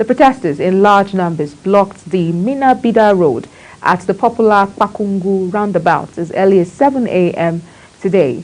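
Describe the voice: This woman's voice sits at a medium pitch with a slightly mellow tone and ordinary pitch variation. She keeps a moderate pace with few pauses.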